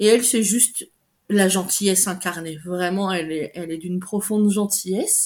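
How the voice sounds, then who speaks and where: Here a woman has a normal speaking voice at medium pitch, with fairly even intonation. She keeps a moderate pace on a very clean recording with a silent background. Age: 40s. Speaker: dog breeder and trainer. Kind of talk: interview.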